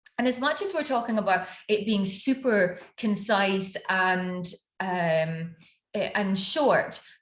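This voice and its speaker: A woman's somewhat breathy, medium-pitched voice in a Scottish accent, with ordinary pitch variation and a very slow pace. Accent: Scottish, slowed after years abroad. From Scotland. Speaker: business mentor and personal branding coach. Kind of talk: online workshop / master class. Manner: conversational, many fillers.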